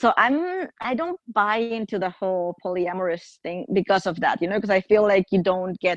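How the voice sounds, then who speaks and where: Over a quiet background, a woman speaks with a Spanish accent. Her pace is moderate. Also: dry, close sound with no echo. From Mexico. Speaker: podcast guest. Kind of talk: casual chat.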